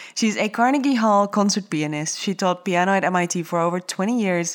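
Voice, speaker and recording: Here a woman uses a normal speaking voice at medium pitch. She keeps a moderate pace with ordinary pitch variation. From outside the United States. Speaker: podcast host and entrepreneur. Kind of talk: interview.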